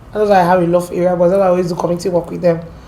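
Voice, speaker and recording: With noticeable background noise around her, the woman talks at a medium pitch. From Nigeria, Port Harcourt. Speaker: guest telling her life story. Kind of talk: interview, personal testimony. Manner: animated storytelling.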